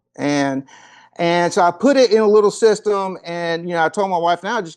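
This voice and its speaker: A man with a high pitch talks at a moderate pace with ordinary pitch variation. The background is quiet. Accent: Kentucky. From Kentucky, US South (Paducah). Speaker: golf performance coach. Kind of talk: interview conversation.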